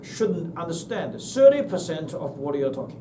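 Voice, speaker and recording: A man speaks at a moderate pace with a Chinese accent and lively intonation. Noticeable background noise and audible room echo fill the recording. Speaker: university lecturer. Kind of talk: lecture. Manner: halting.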